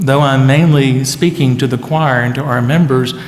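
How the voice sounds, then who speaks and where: Over noticeable background noise and audible room echo, a man with an American accent speaks at a moderate pace with fairly even intonation. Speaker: pastor. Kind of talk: speaker introduction. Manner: hesitant, many fillers.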